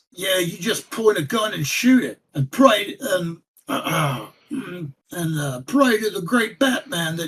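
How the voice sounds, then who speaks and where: Putting on a character voice, a man speaks at a fairly slow pace in a raspy, high pitch with very wide pitch swings. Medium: actual play.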